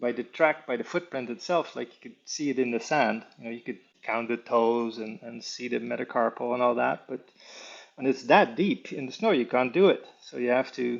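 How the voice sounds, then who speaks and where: A man with a medium pitch speaks at a moderate pace, using ordinary pitch variation while his loudness swings widely. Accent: Dutch. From Netherlands, The Hague area. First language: Dutch. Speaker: animal tracker and conservationist. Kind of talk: interview. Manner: halting, many fillers.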